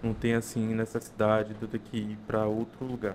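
A man's voice at medium pitch, an ordinary speaking voice. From interior of Bahia, Brazil. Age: 20s. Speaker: food entrepreneur and gastronomy student. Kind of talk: casual interview chat. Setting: studio.

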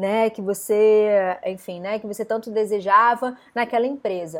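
A woman with an unremarkable speaking voice, fairly high pitched, at a moderate pace, in a very clean recording with a silent background. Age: 30s. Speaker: wellness coach. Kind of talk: live stream talk. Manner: casual.

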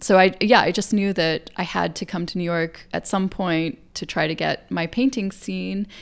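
On a very clean recording with a silent background, a woman with an American accent and a plain, everyday voice talks at a moderate pace with fairly low pitch, ordinary pitch variation and hardly any pauses. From US South. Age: 40s. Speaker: painter. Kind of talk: casual interview. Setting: artist's studio.

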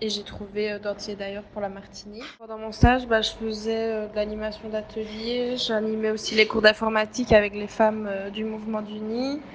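A woman's fairly high, monotone, flat voice at a moderate pace, with big swings in loudness and noticeable background noise. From Belgium. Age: 20s. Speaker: former intern, NGO communications worker. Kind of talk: testimony. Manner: hesitant, many fillers.

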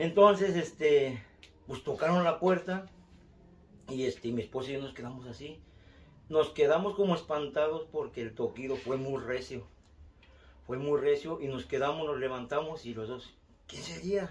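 This man's fairly high, somewhat breathy voice has ordinary pitch variation and long, frequent pauses. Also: big swings in loudness. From Mexico City. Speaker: storyteller, relative of host. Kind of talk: recorded testimony.

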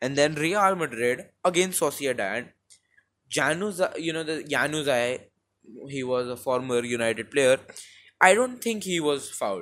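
Speaking with an Indian accent, a man uses a fairly high pitch and lively intonation at a fairly slow pace. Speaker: football podcaster. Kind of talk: casual solo commentary. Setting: home recording with a low-quality mic. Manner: rambling, informal.

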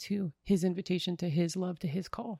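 In a dark, mellow tone that is somewhat breathy, a woman with an American accent speaks at medium pitch with fairly even intonation, recorded very cleanly against a silent background with a dry, close sound and no echo. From northern Minnesota. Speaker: consecrated religious woman, youth minister. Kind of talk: casual interview.

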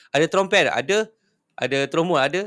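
A man talks with very wide pitch swings. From Malaysia, Johor (Pasir Gudang). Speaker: punk band vocalist. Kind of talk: casual chat.

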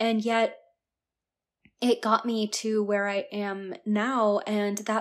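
A woman's medium-pitched voice in a very clean recording with a silent background. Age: 20s. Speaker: self-worth coach and podcast host. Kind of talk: solo podcast monologue.

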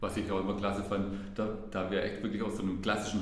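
Very fast speech from a man, fairly low in pitch, with audible room echo. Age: 30s. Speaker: sales manager at a workwear company. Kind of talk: interview.

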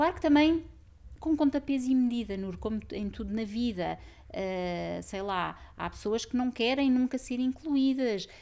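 Speaking with lively intonation, a woman with a high voice is heard on a very clean recording with a silent background. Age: 40s. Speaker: systemic therapist and author. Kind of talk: casual chat.

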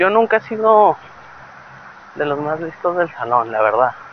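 The pace of the speech is moderate. Noticeable background noise can be heard. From Torreón, Mexico. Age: 30s. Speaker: podcaster. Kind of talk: casual monologue. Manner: hesitant, many fillers.

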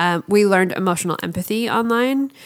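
A woman with a Canadian accent and a normal speaking voice, with lively intonation at a fairly quick pace. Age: 30s. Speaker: walking tour leader and writer. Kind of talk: casual chat.

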